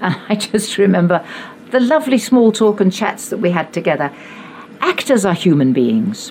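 Amid noticeable background noise, a woman with a southern English accent talks at a moderate pace and medium pitch with very wide pitch swings. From England, Richmond upon Thames. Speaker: actress. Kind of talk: anecdotal storytelling in conversation.

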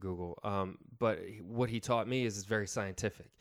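In a very clean recording with a silent background, a man with an American accent and a plain, everyday voice talks at a fairly low pitch with ordinary pitch variation. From upstate New York. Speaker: actor and photographer. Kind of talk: casual chat.

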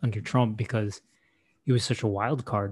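Against a quiet background, a man with a medium pitch and a somewhat breathy voice speaks at a fairly quick pace. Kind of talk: casual chat. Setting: video call. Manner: casual, joking.

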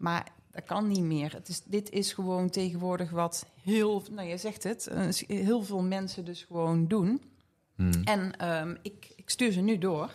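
A woman with a medium-pitched voice speaks very slowly, her intonation fairly even. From Geldrop, North Brabant, Netherlands. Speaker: beauty salon owner. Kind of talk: casual interview chat.

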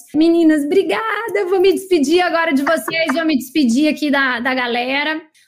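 A woman speaks in an animated tone with an extremely high pitch and ordinary pitch variation. Her moderate pace has hardly any pauses, and there is noticeable background noise. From Brazil, Maranhão (São Luís). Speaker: podcast host, marketing coach. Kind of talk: casual group video call.

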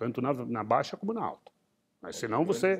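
Speaking at a moderate pace, the man's pitch swings very widely. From Rio Grande do Sul, Brazil. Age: 60s. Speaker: entrepreneur and investor. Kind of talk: interview. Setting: museum.

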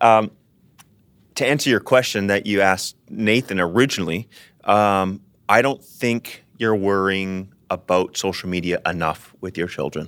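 Recorded very cleanly against a silent background, a man uses an ordinary speaking voice at a fairly low pitch, with ordinary pitch variation and a moderate pace. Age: 30s. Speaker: pastor. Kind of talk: casual chat.

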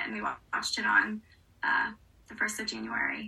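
In an American accent, a woman with a fairly high pitch and a plain, everyday voice talks at a moderate pace. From US South, New Orleans. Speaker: actress. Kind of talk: casual chat.

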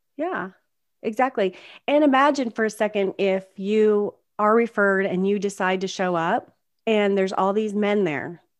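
A woman with a plain, everyday voice and an American accent speaks at a medium pitch and moderate pace, with ordinary pitch variation, over a quiet background. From US South. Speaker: performance consultant and podcast co-host. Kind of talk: casual chat.

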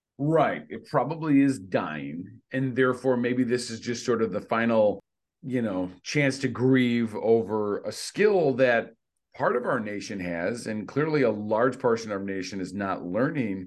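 Against a quiet background, a man with a normal speaking voice talks fairly slowly at a medium pitch, his intonation lively. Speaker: podcast host and middle school teacher. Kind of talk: casual conversation, reads an essay excerpt aloud.

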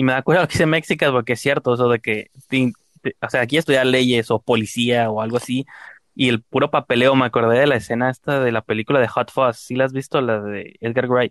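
With a Mexican accent, a man talks at a fairly quick pace in a medium pitch and fairly even intonation, recorded dry and close with no echo against a quiet background. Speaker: podcast host. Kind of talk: casual chat.

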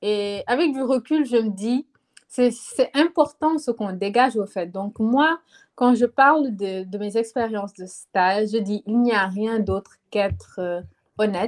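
A woman's fairly high voice, very slow, with ordinary pitch variation. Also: dry, close sound with no echo. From Senegal. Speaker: student. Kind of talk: casual chat.

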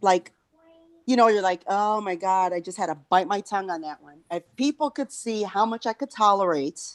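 A woman speaks at a moderate pace and a medium pitch. She has a Chicago South Side accent and ordinary pitch variation. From South Side Chicago. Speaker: podcast host. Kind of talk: casual chat. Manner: halting.

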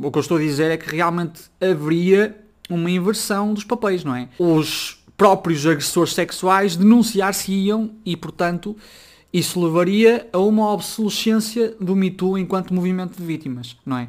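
His pitch is high. This man's pitch shifts in an ordinary way. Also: moderate pace. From northern Portugal, Braga. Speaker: podcaster. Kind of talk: casual solo commentary.

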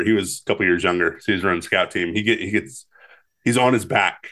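A man with an American accent talks against a quiet background. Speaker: podcast co-host. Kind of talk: casual chat.

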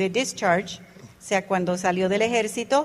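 A woman with an unremarkable speaking voice talks at a fairly slow pace, her intonation fairly even. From Panama Canal Zone, Puerto Rican parents. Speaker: network marketing business leader. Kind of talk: motivational talk to audience.

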